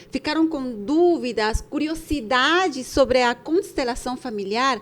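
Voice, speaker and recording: This woman has a Bolivian accent. Her pitch is high, with ordinary variation. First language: Spanish (speaking Portuguese). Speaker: podcast co-host, entrepreneur. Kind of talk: casual podcast chat.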